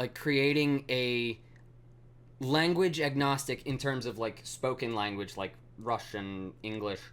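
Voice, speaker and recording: A man with a slight Mid-Atlantic accent and medium pitch, at a very slow pace with long, frequent pauses and ordinary pitch variation. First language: not English. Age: 20s. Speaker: programming streamer. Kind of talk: live coding stream. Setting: live stream. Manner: halting, many fillers.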